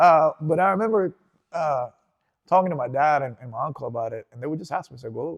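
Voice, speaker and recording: With a Spanish accent and very wide pitch swings, a man talks at a fairly quick pace in a dry, close sound with no echo, on a very clean recording with a silent background. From Venezuela, Caracas. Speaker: interview guest. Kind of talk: casual interview.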